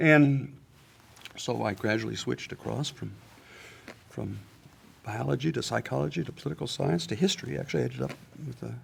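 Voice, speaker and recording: The speaker has an American accent, very wide pitch swings, and long, frequent pauses. There is noticeable background noise. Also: man, fairly quick pace. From US Midwest, small-town Ohio. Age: 70s. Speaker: professor. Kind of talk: interview conversation. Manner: halting, many fillers and restarts.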